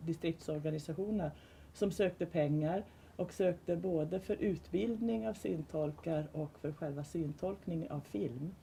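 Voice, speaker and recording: The woman's tone is dark and mellow. She talks fairly slowly in a somewhat breathy voice. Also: fairly low pitch for a woman, ordinary pitch variation. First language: Swedish. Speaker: panel speaker on audio description. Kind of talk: panel discussion. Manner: halting.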